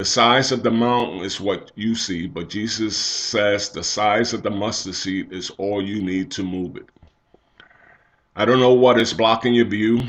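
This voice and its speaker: Fairly slow and fairly low, a man's plain, everyday voice keeps a fairly even intonation. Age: 60s. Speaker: church elder giving devotional. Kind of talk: devotional talk.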